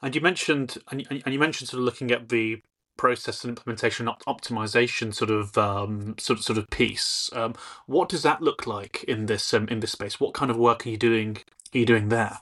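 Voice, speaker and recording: With a British accent, a man speaks at a fairly quick pace in a medium pitch with ordinary pitch variation. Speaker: podcast host. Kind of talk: interview conversation.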